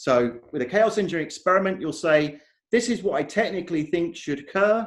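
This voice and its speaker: A man speaks with an English accent and lively intonation. He moves at a fairly quick pace. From England. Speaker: software conference speaker. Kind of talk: conference talk.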